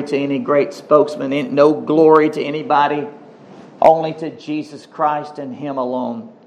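Audible room echo surrounds a man talking at a fairly slow pace. His voice is fairly high, with ordinary pitch variation. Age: 50s. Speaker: pastor. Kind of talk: sermon.

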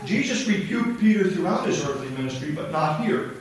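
With audible room echo and noticeable background noise, a man talks at a fairly quick pace with a high pitch. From Indiana, US Midwest. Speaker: missionary preacher. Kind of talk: sermon. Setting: church.

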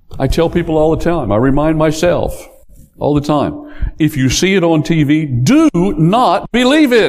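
Against noticeable background noise, the speech moves at a fairly slow pace with lively intonation and very even loudness. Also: man, fairly high pitch for a man. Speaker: pastor. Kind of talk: sermon. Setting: church.

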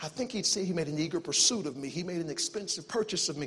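A man speaks with a Southern US accent in a high pitch and an animated tone. Noticeable background noise can be heard. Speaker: visiting preacher. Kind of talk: sermon, preacher in full flow, exhorting a church congregation with call-and-response. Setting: church with congregation. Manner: fast talker, self-aware of speed.

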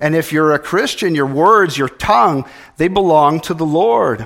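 A man with an American accent and an ordinary speaking voice talks at a fairly slow pace with a fairly high pitch. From California. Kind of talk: sermon.

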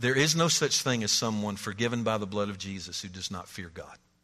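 With a bright, sharp tone and lively intonation, a man speaks at a moderate pace amid audible room echo. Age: 60s. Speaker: pastor. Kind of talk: sermon.

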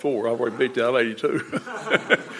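The intonation stays fairly even, with an American accent. Noticeable background noise sits behind the speech. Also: man. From United States. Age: 80s+. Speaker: church member. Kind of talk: testimony. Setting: church.

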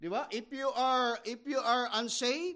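A man's extremely high voice in a Filipino accent, with ordinary pitch variation. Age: 50s. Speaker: missionary pastor. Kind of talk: sermon. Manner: halting.

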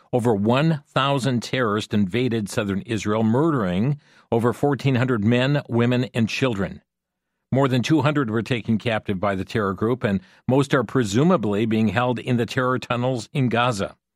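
This man talks at a moderate pace with a medium pitch. His loudness stays very even, and his pitch varies in an ordinary way. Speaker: radio talk show host. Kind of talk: call-in radio talk show. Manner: earnest, somewhat halting with fillers.

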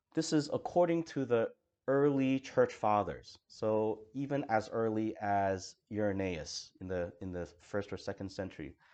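A man with a plain, everyday voice speaks at a fairly slow pace in a fairly low pitch. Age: 40s. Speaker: pastor. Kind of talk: sermon.

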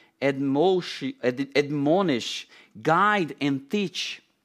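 With a non-native accent, a man speaks at a very slow pace and with lively intonation. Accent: foreign, non-native English. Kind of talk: sermon. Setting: church. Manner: halting with many fillers.

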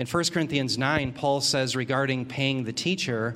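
Using a normal speaking voice, a man talks at a moderate pace. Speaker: church member. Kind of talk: group Bible study discussion.

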